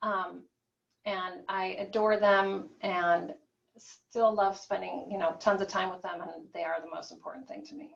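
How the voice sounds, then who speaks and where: A woman's medium-pitched voice with an American accent, lively intonation and big swings in loudness. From US Midwest, Peoria, Illinois. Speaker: physician. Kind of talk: guest lecture. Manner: fast.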